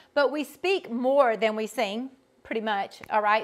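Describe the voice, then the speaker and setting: Her intonation is lively. The woman speaks with a Georgia accent. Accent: Southern US (Georgia) drawl. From US South, Georgia. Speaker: vocal coach. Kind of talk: online workshop instruction. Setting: video call.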